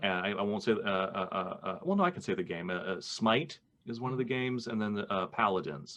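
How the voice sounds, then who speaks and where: With an ordinary speaking voice, a man talks at a fairly quick pace with hardly any pauses, using fairly low pitch and lively intonation. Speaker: voice actor. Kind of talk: podcast interview conversation.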